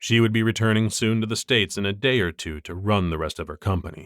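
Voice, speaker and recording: A man with an unremarkable speaking voice talks at a fairly quick pace and fairly low pitch, his intonation lively, in a very clean recording with a silent background and a dry, close sound with no echo. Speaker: voice actor. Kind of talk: audiobook narration.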